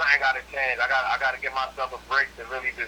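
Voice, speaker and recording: Clear background noise can be heard. Over it, a man speaks very quickly. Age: 20s. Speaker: incarcerated guest. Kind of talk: casual interview.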